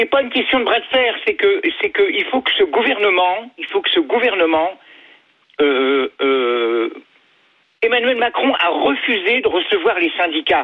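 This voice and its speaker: At a fairly slow pace, a man talks at an extremely high pitch with very wide pitch swings. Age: 60s. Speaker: retired logistics worker, radio caller. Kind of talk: phone-in call. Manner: hesitant.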